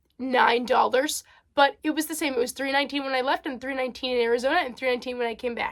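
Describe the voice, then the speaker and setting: A woman with an American accent rushes along at a very fast pace in a high pitch with ordinary pitch variation. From New Jersey. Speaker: vlogger. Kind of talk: casual vlog monologue. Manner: many fillers and hesitations.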